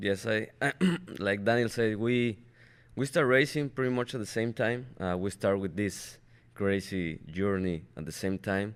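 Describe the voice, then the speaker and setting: A man talks at a fairly slow pace in a fairly low pitch, with a Spanish accent. The recording is very clean, with a silent background. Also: ordinary pitch variation. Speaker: race car driver. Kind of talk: interview. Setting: studio.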